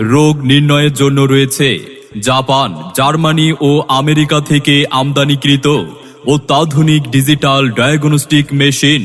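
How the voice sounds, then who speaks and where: Music plays in the background as a man speaks. His intonation is monotone and flat. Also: fairly high pitch for a man, very even loudness. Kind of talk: public address advertisement read.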